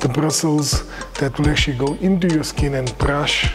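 Music plays clearly in the background. Over it, a man talks. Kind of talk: product demonstration. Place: shop.

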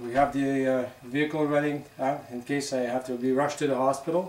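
Fairly even intonation with audible room echo. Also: man. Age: 60s. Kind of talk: casual martial arts demonstration talk. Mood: joking, light-hearted. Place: home room. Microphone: camera far.

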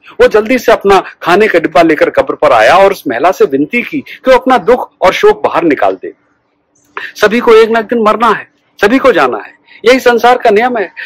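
A man speaks at a moderate pace with very wide pitch swings. The sound is dry, with no echo. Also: quiet background. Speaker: storyteller. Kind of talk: storytelling narration. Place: garden. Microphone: phone near.

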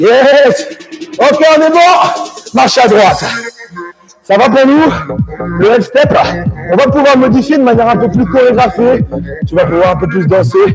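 Music plays in the background as a man speaks. His pitch is high and his pace fairly slow. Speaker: fitness instructor. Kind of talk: workout class cueing. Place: gym.

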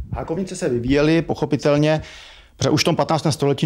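A man's voice over light background noise. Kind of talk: interview answer. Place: home room. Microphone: handheld.

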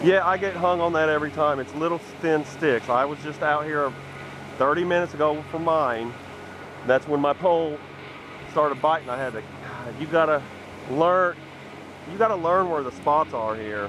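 At a moderate pace with ordinary pitch variation, the speaker leaves long, frequent pauses in a dry recording with no echo and noticeable background noise. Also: man. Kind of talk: casual fishing vlog commentary. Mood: relaxed, pleased. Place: waterside. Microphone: phone near.

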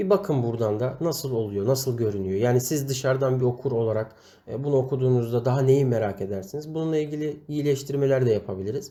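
The speaker has a dark, mellow tone, somewhat breathy delivery, ordinary pitch variation and a fairly quick pace, captured on a very clean recording with a silent background. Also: man. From Turkey, Amasya. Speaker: website editor training writers. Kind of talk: tutorial.

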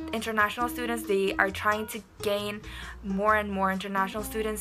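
A woman with an Indonesian accent, clear music in the background. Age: young. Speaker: university student. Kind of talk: casual talk to camera. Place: home room. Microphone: phone near.

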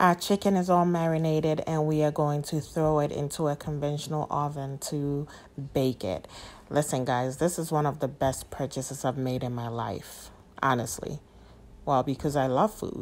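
A woman speaks with a very deep, low pitch and ordinary pitch variation. Her pace is moderate. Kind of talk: tutorial. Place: kitchen.

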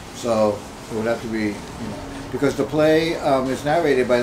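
A man speaks at a moderate pace in a medium pitch, with noticeable background noise. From Long Island, New York (Puerto Rican family); New York. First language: Spanish. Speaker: multimedia artist. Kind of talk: interview. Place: home room.

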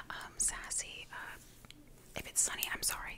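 Loud background noise fills the clip. The speaker keeps a moderate pace. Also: woman. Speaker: ASMR creator. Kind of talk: soft casual ASMR chat. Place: home room. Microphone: studio mic.

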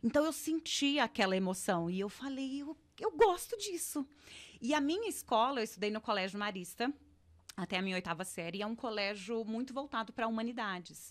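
Her pitch fairly high, a woman speaks at a fairly quick pace with lively intonation. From interior of São Paulo state, Ribeirão Preto; São Paulo state. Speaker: actress. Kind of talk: casual interview. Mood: relaxed, animated storytelling. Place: studio. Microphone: studio mic.

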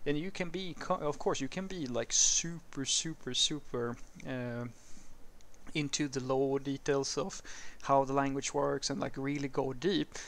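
In a Swedish accent, a man speaks at a moderate pace with ordinary pitch variation. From Sweden. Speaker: programming educator / YouTuber. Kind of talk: casual educational talk answering a viewer question. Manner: conversational, with some hesitations and fillers. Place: street.

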